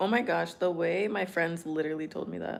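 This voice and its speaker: An animated woman with vocal fry and an American accent talks at a fairly quick pace, her fairly low pitch showing ordinary variation. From California. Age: 20s. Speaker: streamer. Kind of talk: casual chat. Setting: livestream.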